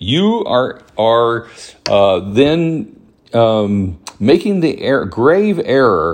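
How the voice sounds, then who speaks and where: A man speaks in a Southern US accent with very wide pitch swings. The background is quiet. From US South, Alabama (Huntsville). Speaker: podcast host. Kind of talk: casual monologue. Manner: hesitant, many fillers.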